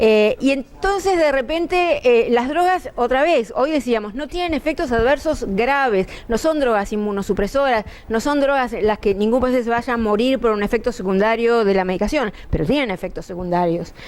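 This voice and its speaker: A woman's high-pitched voice, with very wide pitch swings, a moderate pace and hardly any pauses. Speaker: pulmonologist. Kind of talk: medical lecture. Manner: conversational, with filler hesitations.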